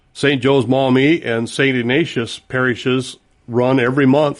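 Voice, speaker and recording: Speaking in an unremarkable speaking voice, this man keeps a medium pitch and an unhurried, moderate tempo. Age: 60s. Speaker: retiree and volunteer. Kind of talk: radio interview. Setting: studio.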